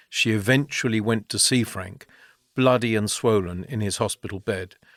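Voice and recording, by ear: The background stays quiet. A speaker reads aloud in a natural voice, the pitch varying in an ordinary way.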